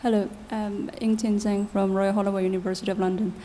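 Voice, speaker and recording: Amid audible room echo, a woman talks at a very fast pace in a medium, somewhat breathy voice with fairly even intonation. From China. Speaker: researcher, audience member. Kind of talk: audience question at conference. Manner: quiet.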